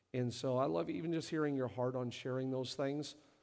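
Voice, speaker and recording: Audible room echo surrounds a man speaking at a medium pitch with fairly even intonation. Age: 40s. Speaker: lead pastor. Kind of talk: church service panel interview. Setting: stage in church service.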